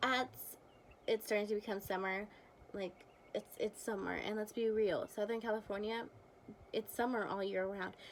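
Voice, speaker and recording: A woman's plain, everyday voice, medium in pitch, at a moderate pace with ordinary pitch variation. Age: 20s. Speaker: beauty vlogger. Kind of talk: casual product review to camera.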